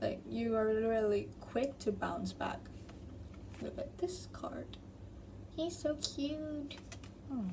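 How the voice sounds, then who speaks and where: With audible room echo, a woman speaks at a very slow pace with long, frequent pauses. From Thailand. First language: Thai. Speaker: tarot reader. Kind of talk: tarot reading to camera. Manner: casual, self-correcting.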